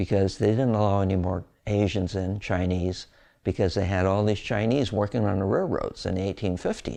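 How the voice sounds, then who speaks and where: With an American accent, a man speaks at a moderate pace in a dark, mellow tone, his fairly low pitch held to fairly even intonation and very even loudness over a quiet background. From California, Gilroy. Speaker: local elder. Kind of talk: oral history interview.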